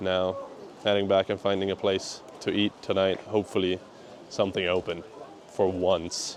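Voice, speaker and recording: A man's very deep, low voice at a moderate pace, monotone and flat, with very even loudness, long, frequent pauses and noticeable background noise. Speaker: food and travel vlogger. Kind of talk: on-location vlog talk. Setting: outdoors on a hike.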